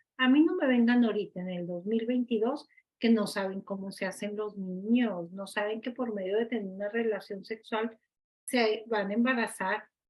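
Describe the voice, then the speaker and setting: Moderate-paced speech from a woman with a fairly high pitch and ordinary pitch variation. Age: 60s. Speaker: participant in a religious study group. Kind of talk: group discussion. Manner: emphatic.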